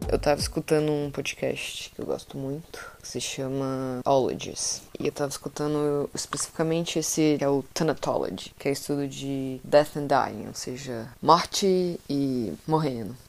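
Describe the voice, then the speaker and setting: Over noticeable background noise, the speaker goes at a fairly slow pace with ordinary pitch variation and hardly any pauses. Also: woman, very deep, low pitch for a woman. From Brazil, Centre-West. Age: 20s. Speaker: podcaster. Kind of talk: solo monologue podcast. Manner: casual.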